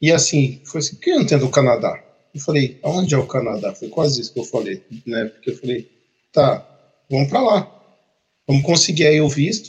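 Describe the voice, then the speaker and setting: Here a man speaks at a moderate pace and a fairly high pitch. His voice is somewhat breathy, with lively intonation. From Brazil, Campinas (São Paulo state). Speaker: project manager, podcast co-host. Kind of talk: casual chat.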